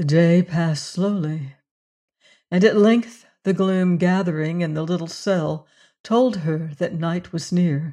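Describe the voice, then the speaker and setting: At a very slow pace, a woman speaks in a dark, mellow, menacing tone with a fairly low pitch and ordinary pitch variation. The background is quiet. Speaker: audiobook narrator. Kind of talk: dramatic narration of a classic adventure novel, with tense, menacing character voices. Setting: studio. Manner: suspenseful, hushed and menacing in the threats, tremulous for Juana.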